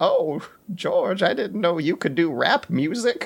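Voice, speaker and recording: In a put-on character voice, a man talks fairly slowly with lively intonation and a high pitch. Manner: sweet.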